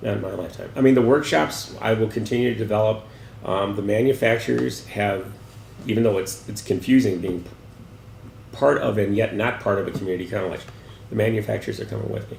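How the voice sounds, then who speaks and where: Amid noticeable background noise and audible room echo, a man talks at a very fast pace. His pitch is fairly low. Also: ordinary pitch variation. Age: 60s. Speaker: gallery director. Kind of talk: interview. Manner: halting.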